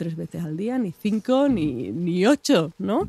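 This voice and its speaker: A woman with a dark, mellow tone and fairly low pitch makes very wide pitch swings, recorded with a dry, close sound and no echo. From Extremadura, Spain (Mérida). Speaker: nutritionist. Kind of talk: casual chat.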